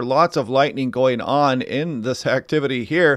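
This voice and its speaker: A man's voice at a moderate pace against a quiet background. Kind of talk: commentary. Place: home room.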